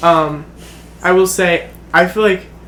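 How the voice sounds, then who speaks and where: A man with a fairly high voice speaks in a fairly even tone over noticeable background noise. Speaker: podcast co-host. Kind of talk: casual chat. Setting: at his family cabin. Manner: very fast.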